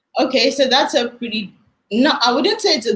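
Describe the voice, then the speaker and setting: Speaking at a moderate pace, a woman with a Nigerian accent uses lively intonation. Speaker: weight loss story guest. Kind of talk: interview. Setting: livestream.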